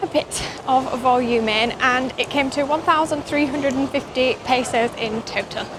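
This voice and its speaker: A woman's high-pitched voice with a Yorkshire accent and fairly even intonation over noticeable background noise. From northern England, Yorkshire. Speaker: expat vlogger. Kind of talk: casual vlog narration. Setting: shopping mall.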